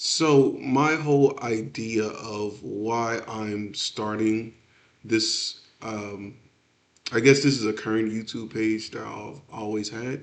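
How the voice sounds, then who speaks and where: Speaking at a very slow pace, a man with an American accent shows big swings in loudness. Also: medium pitch for a man, ordinary pitch variation. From Texas, Houston. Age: 30s. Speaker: aspiring entrepreneur, podcaster. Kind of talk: solo podcast monologue. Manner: many filler words, casual.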